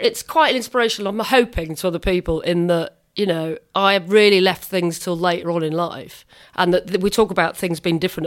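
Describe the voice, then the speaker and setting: A woman with a British accent talks at a fairly quick pace and medium pitch. Her pitch variation is ordinary, in a very clean recording with a silent background. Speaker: podcast host. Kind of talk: casual chat. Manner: animated.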